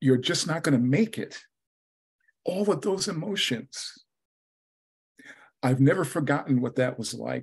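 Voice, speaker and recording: This man has a fairly high pitch, lively intonation and vocal fry. He talks at a fairly slow pace with long, frequent pauses. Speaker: club speaker. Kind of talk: prepared speech.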